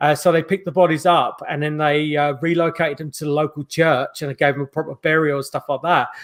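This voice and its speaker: In a very clean recording with a silent background, a man with a London accent speaks at a fairly high pitch in a monotone, flat intonation. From South London, England (Croydon). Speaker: paranormal investigator. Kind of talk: interview. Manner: halting, many fillers.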